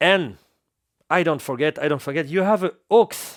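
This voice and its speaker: In a French accent, the voice has ordinary pitch variation and a dry, close sound with no echo, on a very clean recording with a silent background. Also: man. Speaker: DJ equipment reviewer. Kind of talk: product review tutorial. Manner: halting.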